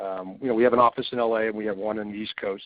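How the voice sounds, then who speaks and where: This is an unremarkable speaking voice from a man at medium pitch. He talks at a fairly quick pace with ordinary pitch variation. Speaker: commercial real estate broker. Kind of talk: webinar presentation. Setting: online webinar.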